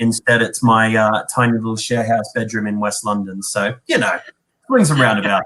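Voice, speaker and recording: This man's medium-pitched voice has a bright, sharp tone and a flat, monotone delivery. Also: moderate pace. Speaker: tourism board representative. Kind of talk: casual interview.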